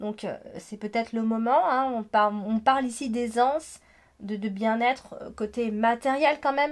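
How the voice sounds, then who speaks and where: A woman's fairly high voice with ordinary pitch variation, in a very clean recording with a silent background. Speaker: astrologer and tarot reader. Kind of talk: horoscope reading. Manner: hesitant with many fillers.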